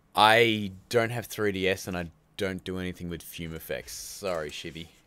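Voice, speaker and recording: An Australian accent at a moderate pace, fairly even intonation and big swings in loudness. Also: man, very deep, low pitch for a man. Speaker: YouTube filmmaking channel host. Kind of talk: live stream chat. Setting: live stream. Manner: casual, chatty.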